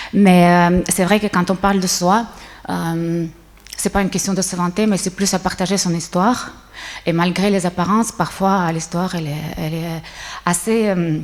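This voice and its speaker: Woman at a moderate pace, monotone and flat, amid noticeable background noise. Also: medium pitch for a woman. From Switzerland. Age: 60s. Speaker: businesswoman, conference speaker. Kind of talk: conference talk. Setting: stage with audience. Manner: hesitant, many fillers.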